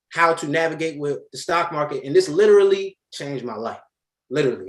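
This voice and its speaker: A man speaks at a moderate pace. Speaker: stock trading group admin and teacher. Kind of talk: motivational talk to a live class. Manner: loud; animated.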